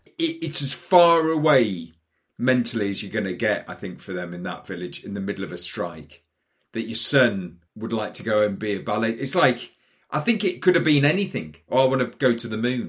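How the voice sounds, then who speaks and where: Speaking at a moderate pace, a man has a medium pitch. The pitch rises and falls very widely. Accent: Geordie. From northern England, Newcastle. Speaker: actor. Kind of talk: casual chat. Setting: studio.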